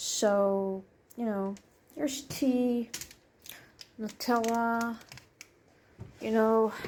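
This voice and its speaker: Speaking at a very slow pace, a woman leaves long, frequent pauses. Her fairly high voice keeps a fairly even intonation. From Netherlands. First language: Dutch. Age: 20s. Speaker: vlogger. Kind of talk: casual apartment tour. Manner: hesitant with fillers.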